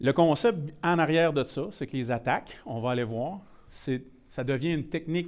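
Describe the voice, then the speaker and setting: With a rural Quebec accent, a man speaks at a moderate pace with ordinary pitch variation. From Quebec, Shawinigan (Mauricie). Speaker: IT security presenter. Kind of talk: technical presentation. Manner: casual, mixes in many English words.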